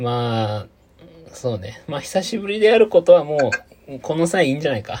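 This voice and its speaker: Very wide pitch swings and big shifts in loudness at a moderate pace, over noticeable background noise. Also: man, fairly high pitch for a man. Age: 30s. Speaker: podcast co-host. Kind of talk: casual chat. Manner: animated.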